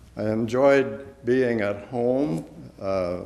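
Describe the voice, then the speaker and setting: Speaking at a very slow pace in an American accent, a man keeps a fairly even intonation, with audible room echo in the recording. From US Midwest, Iowa. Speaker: war veteran. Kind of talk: oral history interview. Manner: halting.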